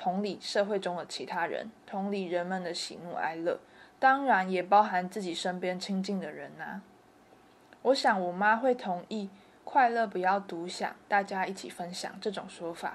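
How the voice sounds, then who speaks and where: This woman has a Taiwanese accent, a medium pitch, ordinary pitch variation and a moderate pace, and her loudness swings widely. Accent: Taiwanese Mandarin. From Kaohsiung, Taiwan. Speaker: university student filmmaker. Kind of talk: first-person documentary narration.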